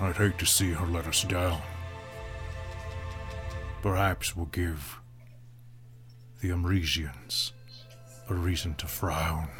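Using a gruff, put-on character voice with a very deep, low pitch, a man speaks at a fairly slow pace with long, frequent pauses over music in the background.

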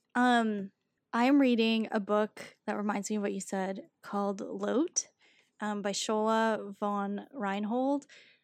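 Mumbling at a very slow pace, a woman keeps a medium pitch and fairly even intonation. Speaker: poet and writer. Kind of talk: casual interview chat with poetry reading. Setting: video call. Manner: mumbler, working to enunciate more.

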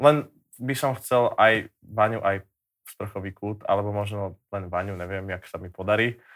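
A man with a fairly low pitch talks at a moderate pace in an ordinary speaking voice. His intonation stays fairly even while his loudness swings widely. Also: very clean recording, silent background. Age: young. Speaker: singer. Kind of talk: casual chat.

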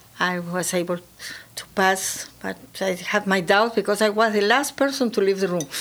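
Speaking with a Spanish accent, a woman of medium pitch keeps a moderate pace with ordinary pitch variation. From Peru. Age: 80s+. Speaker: real estate firm founder. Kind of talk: interview. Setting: studio.

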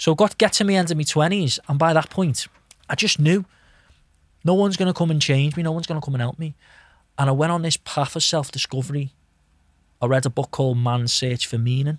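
With a fairly high pitch and ordinary variation, a somewhat breathy man speaks very fast yet takes long, frequent pauses, the sound dry and close with no echo. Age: 30s. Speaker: hypnotist and mind coach. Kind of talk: casual chat. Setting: studio.

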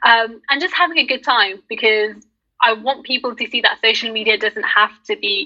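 Speaking in a British accent, a woman keeps a moderate pace and a fairly high pitch. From UK. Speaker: content creator. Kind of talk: casual chat.

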